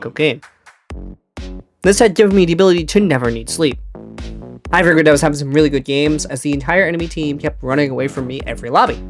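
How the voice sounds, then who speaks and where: Speech races at a very fast pace with music in the background. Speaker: gaming video narrator. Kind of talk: comedic gaming commentary narration.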